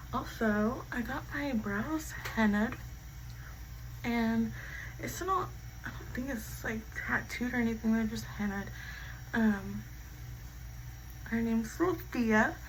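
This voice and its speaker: A woman speaks at a very slow pace with long, frequent pauses. Noticeable background noise and audible room echo fill the recording. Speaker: beauty vlogger. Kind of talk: get-ready-with-me storytime chat. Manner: casual, filler-heavy.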